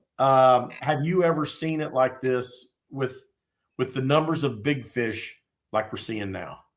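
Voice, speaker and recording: This man has an American accent and a medium pitch. The recording is very clean, with a silent background. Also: ordinary pitch variation, fairly slow pace. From Indiana. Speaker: fishing podcast co-host. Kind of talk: casual chat.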